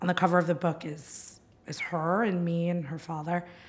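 With a New Jersey accent, a woman speaks at a moderate pace in a fairly low, somewhat breathy voice with fairly even intonation. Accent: American, New Jersey. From New Jersey, US. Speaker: media executive and author, mother. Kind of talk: casual interview.

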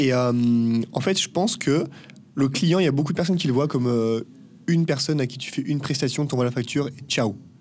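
A man with a fairly high-pitched voice talks at a very fast pace. His pitch varies in an ordinary way, and music plays in the background. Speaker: agency co-founder, business school graduate. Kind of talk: casual interview. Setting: in person, La Rochelle.

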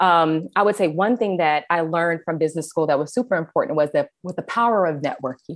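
A woman's fairly low voice with an American accent, very fast and with hardly any pauses, with ordinary pitch variation. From US Midwest and California (Kansas City, San Diego). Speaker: food blogger and creative director. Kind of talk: casual interview chat.

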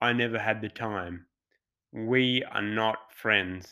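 Very slow speech from a man at a medium pitch, its pitch variation ordinary. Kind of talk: spoken word poem. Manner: aggrieved, sardonic, with rhythmic rhyming delivery.

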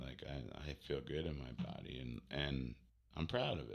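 A man talks in a playful tone with vocal fry. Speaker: podcast co-host. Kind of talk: casual chat. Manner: joking, playful.

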